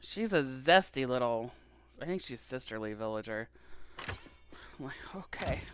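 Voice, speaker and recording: The speaker uses an American accent at a fairly slow pace, with an animated tone, lively intonation, and big swings in loudness. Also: woman, very deep, low pitch for a woman. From Appalachia. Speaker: pastor and game streamer. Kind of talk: casual livestream chat while gaming. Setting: live stream. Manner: animated, chatty.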